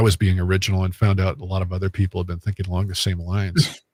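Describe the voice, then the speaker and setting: On a very clean, dry, close recording with no echo and a silent background, a man with a very deep, low, somewhat breathy voice speaks at a very fast pace. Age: 60s. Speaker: medium and paranormal investigator. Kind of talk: casual interview chat. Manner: halting, many fillers.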